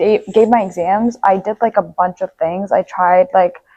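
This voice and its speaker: A woman speaks with an Armenian accent at a moderate pace, with ordinary pitch variation. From Nepal. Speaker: university student. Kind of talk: podcast interview.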